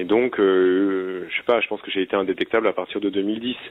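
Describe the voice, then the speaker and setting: A man speaks in a normal speaking voice at a moderate pace. His intonation is fairly even. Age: 30s. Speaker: person living with HIV. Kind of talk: recorded interview, personal testimony.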